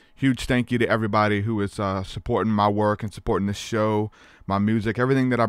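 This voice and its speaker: Against a quiet background, a plain, everyday voice moves at a fairly quick pace with fairly even intonation. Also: man, dry sound with no echo. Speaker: podcast host. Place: home room. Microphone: studio mic.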